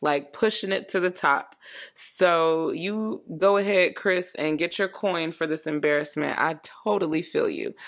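A woman with an American accent and a normal speaking voice, fairly low in pitch, at a fairly slow pace with ordinary pitch variation, on a very clean recording with a silent background. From Florida. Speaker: solo podcast host. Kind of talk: casual commentary monologue.

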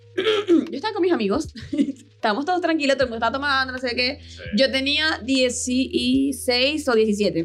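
High-pitched woman's voice with very wide pitch swings and big swings in loudness. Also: moderate pace. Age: 20s. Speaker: social media content creator. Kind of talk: casual chat.

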